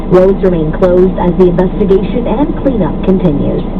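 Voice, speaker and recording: A woman at medium pitch and moderate pace, over noticeable background noise. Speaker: radio news anchor. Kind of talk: radio news read.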